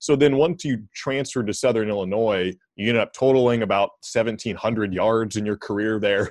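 A man with an ordinary speaking voice, medium pitch, ordinary pitch variation, a moderate pace and hardly any pauses. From Oregon (Corvallis). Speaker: sports journalist, podcast host. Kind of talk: casual interview chat; scripted narration.

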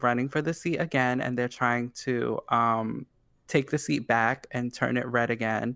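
A man's medium-pitched voice with a bright, sharp tone and an American accent. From New York City, Staten Island. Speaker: podcast co-host. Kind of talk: casual chat. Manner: animated.

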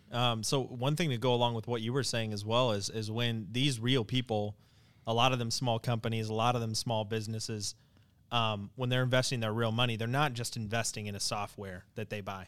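A man with an American accent and an unremarkable speaking voice talks at medium pitch and a fairly quick pace with fairly even intonation, in a very clean recording with a silent background. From Wyoming, US. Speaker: customer support specialist. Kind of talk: casual chat.

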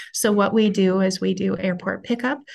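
A woman with an American accent speaks at a moderate pace and medium pitch, sounding somewhat breathy. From Minnesota. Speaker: school superintendent. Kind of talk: interview.

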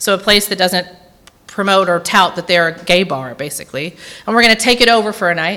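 Over noticeable background noise, a woman talks at a very fast pace. Her medium-pitched voice has ordinary pitch variation. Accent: Tennessee. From Tennessee, Nashville area. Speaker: guest preacher. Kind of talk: sermon. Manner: unscripted, with many fillers.

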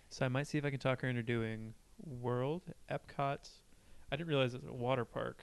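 Speaking at a fairly quick pace, a man uses a normal speaking voice with medium pitch and ordinary pitch variation. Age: 20s. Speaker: podcast co-host. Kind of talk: casual chat.

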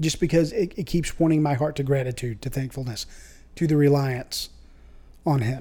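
Somewhat breathy, a man with a fairly high pitch and a dark, mellow tone speaks at a moderate pace with long, frequent pauses. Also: ordinary pitch variation. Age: 30s. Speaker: church member. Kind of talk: casual chat. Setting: studio.

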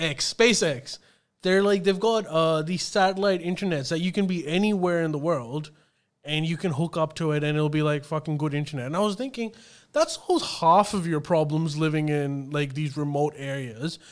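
A man's fairly high-pitched voice at a moderate pace, on a very clean recording with a silent background. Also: ordinary pitch variation. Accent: Australian. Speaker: podcast host. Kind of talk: casual banter podcast chat.

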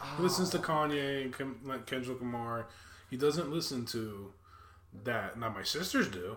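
A man talks at a moderate pace with a medium pitch and ordinary pitch variation. It is an ordinary speaking voice. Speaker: podcast host. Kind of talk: casual chat.

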